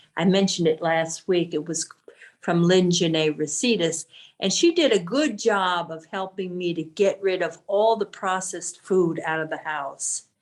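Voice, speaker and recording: Over a quiet background, a woman talks in a normal speaking voice. Her pace is moderate, with ordinary pitch variation. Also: fairly low pitch for a woman. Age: 60s. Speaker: support group member. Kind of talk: casual chat.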